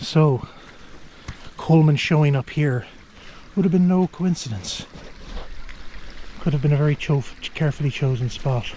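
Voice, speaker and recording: A man whispers at a moderate pace with very even loudness and long, frequent pauses, over noticeable background noise. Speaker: outdoor travel vlogger. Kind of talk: walking tour vlog narration. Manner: whispering.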